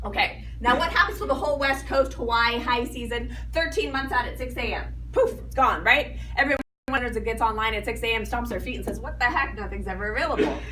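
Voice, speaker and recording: Barely pausing, a woman talks at a fairly quick pace, with audible room echo around her voice. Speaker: timeshare sales presenter. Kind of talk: sales pitch. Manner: fast.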